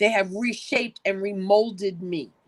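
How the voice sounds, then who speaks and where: A woman speaks in an unremarkable speaking voice at a medium pitch. Her intonation is fairly even and her pace fairly slow. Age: 60s. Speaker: co-author sharing her story. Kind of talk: testimony.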